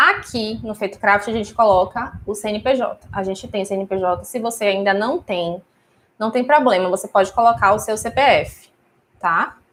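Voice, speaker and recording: At a moderate pace, a woman talks in a plain, everyday voice of medium pitch with ordinary pitch variation, on a very clean recording with a silent background. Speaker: wedding stationery business owner and teacher. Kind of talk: live stream class. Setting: live stream on YouTube and Instagram.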